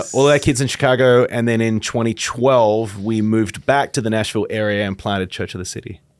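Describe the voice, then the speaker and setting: A man with an Australian accent talks at a very fast pace, with hardly any pauses. His medium-pitched voice keeps fairly even intonation. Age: 50s. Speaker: pastor and author. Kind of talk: podcast interview. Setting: studio.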